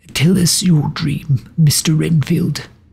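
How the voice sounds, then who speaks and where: A man's raspy, put-on character voice, fairly high in pitch and fairly slow in pace. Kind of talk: quiet, grave. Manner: grave.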